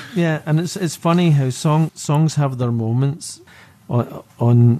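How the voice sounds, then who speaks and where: A dark, mellow tone marks this man's voice. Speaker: musician. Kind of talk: casual interview chat.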